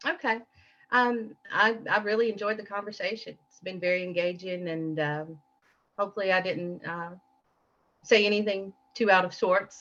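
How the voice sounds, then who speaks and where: Music plays behind a woman with a Southern accent who speaks at a moderate pace with ordinary pitch variation and long, frequent pauses. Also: medium pitch for a woman. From Appalachian Kentucky. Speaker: guest. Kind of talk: interview. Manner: halting.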